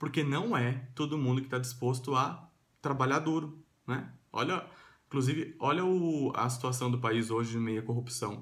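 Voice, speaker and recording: Somewhat breathy, a man with a medium pitch speaks at a moderate pace with fairly even intonation. His loudness is very even, and audible room echo is present. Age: 30s. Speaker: vlogger. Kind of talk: vlog monologue. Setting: at home. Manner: casual with fillers.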